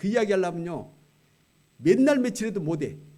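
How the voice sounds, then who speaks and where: A man's dark, mellow tone at a fairly quick pace, with very wide pitch swings and audible room echo. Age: 70s. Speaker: retired pastor, guest preacher. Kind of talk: sermon. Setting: church. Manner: conversational, colloquial.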